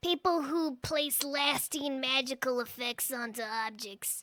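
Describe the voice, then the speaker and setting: A woman speaks in a high, put-on character voice. Her pace is fairly slow. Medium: audio drama. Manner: blunt, casual, sardonic.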